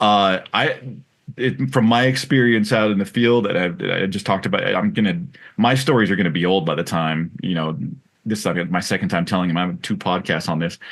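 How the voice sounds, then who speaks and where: Over a quiet background, a man with a plain, everyday voice talks at a fairly quick pace in a fairly low pitch, his intonation lively. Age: 40s. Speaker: podcast host. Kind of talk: casual interview.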